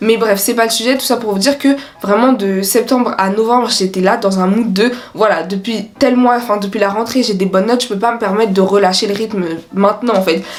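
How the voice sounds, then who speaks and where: Amid noticeable background noise, a woman with a fairly high pitch talks at a fairly quick pace with fairly even intonation. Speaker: student youtuber. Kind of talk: casual vlog advice. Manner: casual, fast.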